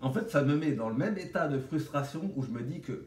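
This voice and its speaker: Over audible room echo, a man with vocal fry talks at a moderate pace and a medium pitch. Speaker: vlogger sharing orthodontic treatment. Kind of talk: casual vlog monologue. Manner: animated.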